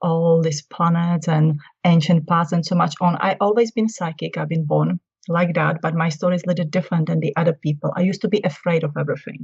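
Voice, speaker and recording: A woman with a Czech accent speaks at a fairly quick pace in a somewhat breathy voice with a fairly low pitch. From Czech Republic. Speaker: spiritual consultant and healer. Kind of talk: interview conversation.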